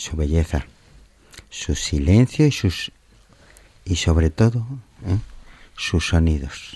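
A man's very deep, low voice, somewhat breathy, with lively intonation, a very slow pace and long, frequent pauses. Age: old. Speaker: mountaineering federation official. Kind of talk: interview. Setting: studio.

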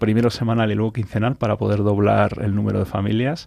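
Fairly quick, monotone, flat delivery from a man with a fairly low pitch and a dark, mellow tone. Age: 40s. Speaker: charity founder. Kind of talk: radio interview. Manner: halting.

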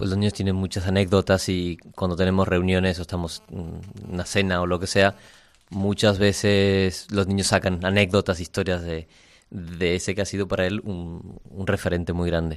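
A man speaks at a moderate pace in a very deep, low pitch. His intonation is monotone and flat on a very clean recording with a silent background. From Argentina. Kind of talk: radio interview.

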